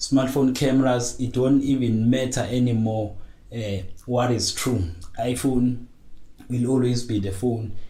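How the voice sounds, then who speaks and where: With audible room echo, a man speaks at a medium pitch in a somewhat breathy voice with a dark, mellow tone. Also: fairly even intonation, fairly slow pace. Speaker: tech podcaster. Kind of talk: casual monologue. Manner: hesitant, many fillers.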